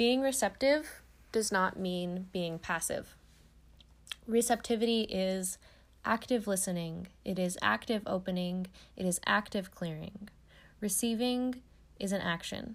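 On a very clean recording with a silent background, a woman speaks at medium pitch with a warm tone. Her pace is fairly slow, broken by long, frequent pauses. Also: ordinary pitch variation. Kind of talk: direct-address pep talk with spiritual affirmations, reading-style encouragement. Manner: warm, uplifting, earnest, encouraging.

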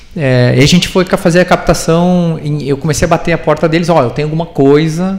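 Over audible room echo, a man talks at a moderate pace with ordinary pitch variation. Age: 30s. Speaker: startup founder and CEO. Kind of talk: live interview on stage.

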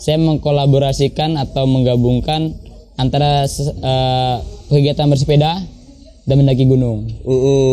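Using a monotone, flat intonation, a man speaks at a moderate pace and a fairly high pitch. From Jakarta, Indonesia. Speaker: touring cyclist / bike packer. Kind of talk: casual interview chat.

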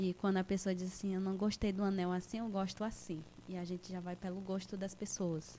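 A woman speaks at medium pitch with a dark, mellow tone. Her intonation is monotone and flat, and her pace is fairly quick. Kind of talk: radio interview.

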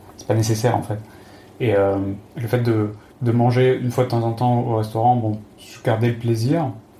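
Amid noticeable background noise and audible room echo, the speech moves at a moderate pace with flat, monotone intonation, big swings in loudness, and long, frequent pauses. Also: man. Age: 30s. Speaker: former pharmacist, traveler. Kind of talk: interview. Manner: halting, repeats words.

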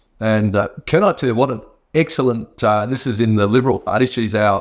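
Against a quiet background, a man with an Australian accent speaks in a fairly low pitch with fairly even intonation. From rural Western Australia. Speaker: state politician. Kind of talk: live stream talk and Q&A. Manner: halting, many fillers.

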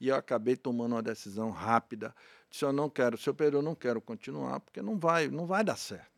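A man talks at a fairly quick pace with a medium pitch, in a normal speaking voice. The recording is very clean with a silent background, and the sound is dry and close, with no echo. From Bahia, Brazil (Feira de Santana). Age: 50s. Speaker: radio and TV presenter. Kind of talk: interview.

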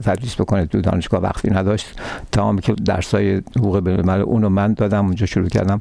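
The voice runs at a very fast pace in a flat monotone with very even loudness. Noticeable background noise is present. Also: man, fairly low pitch for a man. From Iran, Tehran. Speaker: retired law professor. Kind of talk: interview.

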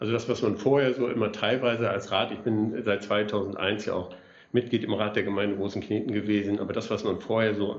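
A man talks fairly quickly in a fairly low, monotone voice with flat intonation. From northwest Germany (Oldenburg area). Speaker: mayor. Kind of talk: casual interview.

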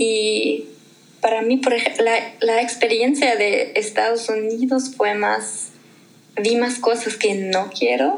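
With a German accent, a woman speaks at a very slow pace and fairly high pitch, with ordinary pitch variation and very even loudness, amid audible room echo and noticeable background noise. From Germany. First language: German (speaking Spanish). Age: 20s. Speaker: language learner guest. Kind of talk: casual interview. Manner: hesitant with fillers.

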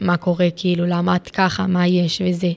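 A woman's fairly low voice at a moderate pace, with monotone, flat intonation. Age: 20s. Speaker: psychiatric inpatient sharing her story. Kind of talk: interview testimony. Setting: psychiatric ward. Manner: halting.

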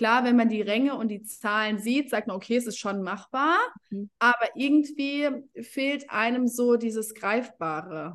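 With a plain, everyday voice, a woman talks at a fairly slow pace, her pitch fairly high and varying in an ordinary way. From Germany. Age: 30s. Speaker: essential oils network marketing leader. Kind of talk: casual interview.

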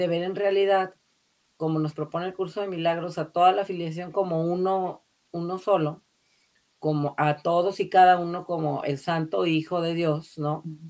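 A woman at a fairly low pitch, moderate pace and monotone, flat intonation. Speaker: spiritual course facilitator. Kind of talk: casual chat.

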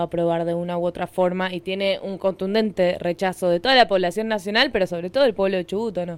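Against noticeable background noise, a woman speaks at a medium pitch with a Rioplatense accent. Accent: Argentine Spanish (rioplatense). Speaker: radio host. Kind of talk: radio interview. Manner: halting.

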